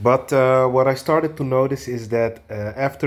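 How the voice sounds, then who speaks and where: A man talks at a moderate pace with a Portuguese accent. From Portugal. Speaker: video blogger. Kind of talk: casual monologue. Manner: halting, many fillers.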